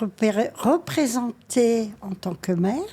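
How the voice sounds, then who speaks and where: At a very slow pace, the speaking carries a dark, mellow tone. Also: woman. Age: 70s. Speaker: retiree. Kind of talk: casual chat.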